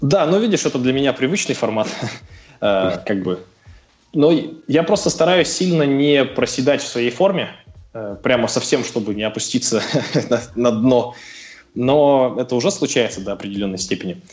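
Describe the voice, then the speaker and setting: A man speaks at medium pitch and a moderate pace with lively intonation. He takes long, frequent pauses. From Russia, Sverdlovsk Oblast (Novouralsk). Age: 20s. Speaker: CrossFit athlete. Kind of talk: casual interview. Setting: phone call.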